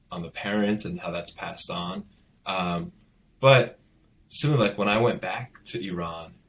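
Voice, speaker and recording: A man talks with a Californian accent. His intonation stays fairly even. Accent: General American, California. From Los Angeles, San Fernando Valley. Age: 30s. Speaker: novelist. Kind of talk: interview. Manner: halting with many repeats.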